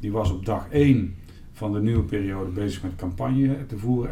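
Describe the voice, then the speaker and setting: A man's pitch moves in an ordinary way as he talks at a moderate speed, with room echo clearly heard and background noise noticeable. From Netherlands, Eindhoven (North Brabant). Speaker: municipal director. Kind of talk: interview. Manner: halting, many fillers and repetitions.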